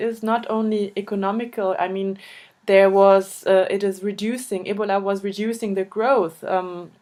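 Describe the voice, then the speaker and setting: This woman has a German accent and a medium pitch. She talks at a very slow pace. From Germany. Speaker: interviewer, volunteer association board member. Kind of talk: interview. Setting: video call. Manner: halting, hesitant.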